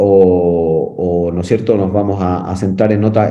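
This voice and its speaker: Here a man speaks in a dark, mellow tone. There is audible room echo. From Chile. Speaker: firefighter instructor. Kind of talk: lecture. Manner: halting, many fillers.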